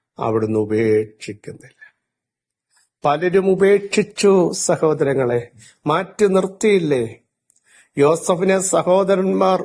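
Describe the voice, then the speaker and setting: The voice has very wide pitch swings while the loudness stays very even. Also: man, high pitch for a man. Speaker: pastor. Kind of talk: sermon. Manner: emphatic, phrase-by-phrase pauses.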